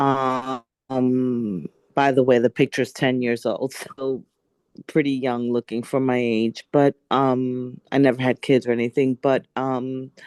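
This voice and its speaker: A woman with a very deep, low pitch, monotone, flat intonation and a fairly slow pace, in a dry, close sound with no echo. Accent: New York. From New York City. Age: 60s. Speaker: workshop participant. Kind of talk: personal testimony. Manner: emphatic.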